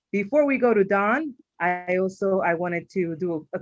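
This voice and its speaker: Lively intonation from a woman at a medium pitch. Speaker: webinar moderator. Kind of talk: webinar introduction and housekeeping. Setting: online webinar. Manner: fast.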